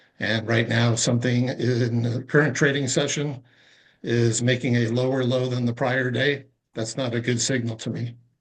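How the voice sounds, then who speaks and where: This man speaks at medium pitch and a moderate pace. His intonation is monotone and flat. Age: 60s. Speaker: retired trader. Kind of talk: casual chat.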